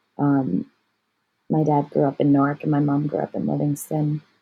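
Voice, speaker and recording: On a very clean recording with a silent background, a woman speaks at a moderate pace in a very deep, low voice. Her tone is dark and mellow, her intonation lively, with vocal fry. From New Jersey, US. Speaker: artist and yoga teacher. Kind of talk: casual interview chat.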